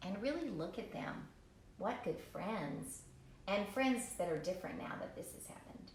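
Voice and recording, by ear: Lively in intonation, this is reading aloud in a natural voice.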